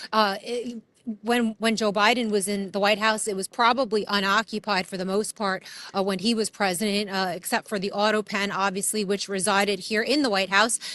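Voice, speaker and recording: Speaking at a fairly quick pace, a woman uses a New York accent and a medium pitch. Her tone is bright and sharp, her intonation monotone and flat. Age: 30s. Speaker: street reporter. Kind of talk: street interview. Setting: outdoors. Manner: casual.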